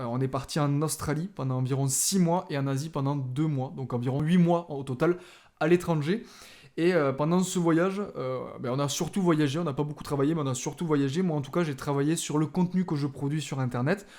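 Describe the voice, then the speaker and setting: At a fairly quick pace, a man with a fairly high pitch, ordinary pitch variation and a slight Toulouse accent speaks. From southern France, Toulouse area. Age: 20s. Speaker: podcast host, videographer and photographer. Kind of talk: podcast introduction monologue. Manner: casual with frequent filler hesitations.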